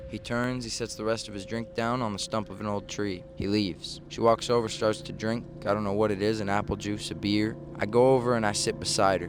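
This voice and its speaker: Over background music, a man talks at a fairly quick pace, his fairly low voice keeping a fairly even intonation. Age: 20s. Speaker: vlogger. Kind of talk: storytelling monologue.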